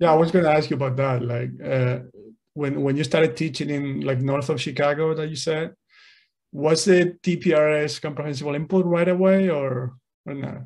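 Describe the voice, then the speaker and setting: A man with a Spanish accent speaks at a fairly high pitch with fairly even intonation. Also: moderate pace. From Spain. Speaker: podcast host, language teacher. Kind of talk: interview, casual chat.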